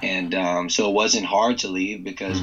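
This man speaks with an American accent. His pitch is very deep and low. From Northern Virginia, US. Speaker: former pro football player, campus minister. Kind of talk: casual interview.

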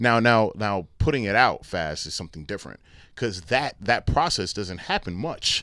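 The bright, sharp voice moves with lively intonation on a very clean recording with a silent background. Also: man, fairly low pitch for a man, moderate pace. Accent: American. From New Brunswick, New Jersey. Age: 30s. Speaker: local music promoter. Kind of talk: casual chat. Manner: animated.

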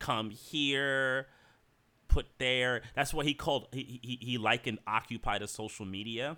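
In a very clean recording with a silent background, a man talks at a fairly slow pace in a bright, sharp tone with fairly even intonation. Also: medium pitch for a man. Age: 40s. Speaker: podcast co-host. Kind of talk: casual chat. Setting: at home.

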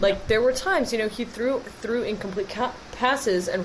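Against noticeable background noise, a woman with an American accent speaks with ordinary pitch variation. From Wisconsin, Green Bay. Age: 20s. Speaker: sports podcast co-host. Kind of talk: casual chat.

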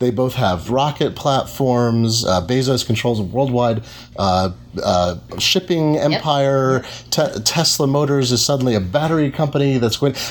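A man's unremarkable speaking voice at medium pitch, with lively intonation, moderate pace and very even loudness. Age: 40s. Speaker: technology reporter and interviewer. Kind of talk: live interview. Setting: live event at a bookstore cafe.

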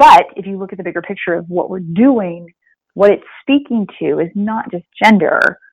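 In an American accent, a woman uses an ordinary speaking voice at medium pitch, with ordinary pitch variation, a moderate pace and big swings in loudness. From Springfield, Missouri. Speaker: global health expert. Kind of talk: casual interview.

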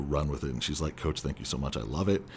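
The speaker is a man. He talks with a Californian accent. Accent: Californian American English. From Southern California. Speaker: former speech competitor and actor. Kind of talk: casual interview.

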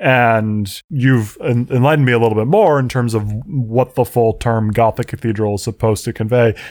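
In a normal speaking voice with fairly even intonation, the speech moves at a moderate pace with hardly any pauses on a very clean recording with a silent background. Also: man, medium pitch for a man. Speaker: podcast host. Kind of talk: casual chat.

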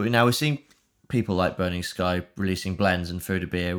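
Very deep, low male speech on a very clean recording, the background silent. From northern England, rural Lincolnshire. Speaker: podcast host. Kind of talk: casual interview chat.

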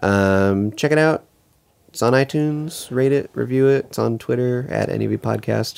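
Here a man speaks in a normal speaking voice at medium pitch, with ordinary pitch variation and a moderate pace. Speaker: podcast co-host. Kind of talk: casual chat, episode-recap podcast.

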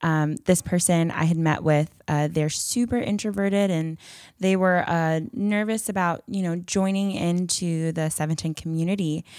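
A woman's fairly low voice proceeds at a moderate pace. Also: very clean recording, silent background. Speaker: church young adults podcast co-host. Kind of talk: casual chat. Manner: loud; energetic.

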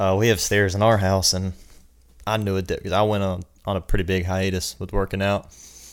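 In a Southern US accent, a man talks at a fairly quick pace. His pitch is fairly low and his intonation monotone and flat. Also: very clean recording, silent background. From South Carolina, US. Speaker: personal trainer. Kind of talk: casual chat.

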